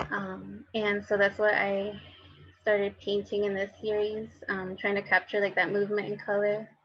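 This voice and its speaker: A woman with a Spanish accent and monotone, flat intonation, over noticeable background noise. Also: medium pitch for a woman, moderate pace. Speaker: painter, artist. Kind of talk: panel discussion. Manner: halting, many filler words.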